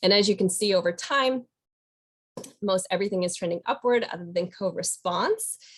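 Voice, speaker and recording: A woman with an unremarkable speaking voice talks at a moderate pace. Her pitch is medium, with ordinary variation. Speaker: state program presenter. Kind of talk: webinar data presentation. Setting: webinar.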